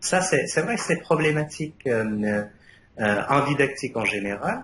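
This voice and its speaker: A man with a non-native accent speaks fairly slowly in a fairly high voice that swings very widely in pitch. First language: Arabic (speaking French). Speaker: university lecturer, thesis jury member. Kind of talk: thesis defense jury feedback. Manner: hesitant, many fillers and repetitions.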